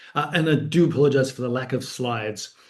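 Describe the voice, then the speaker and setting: A man with an Australian accent speaks fairly quickly at medium pitch, somewhat breathy, with ordinary pitch variation and audible room echo. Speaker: academic author. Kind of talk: book talk lecture. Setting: online video event. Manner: conversational with frequent fillers.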